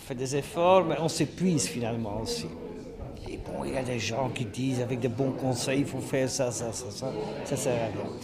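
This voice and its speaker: A man talks with ordinary pitch variation, with audible room echo and noticeable background noise around him. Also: medium pitch for a man, moderate pace. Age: 60s. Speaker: career coach. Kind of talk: radio interview. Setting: skills fair event.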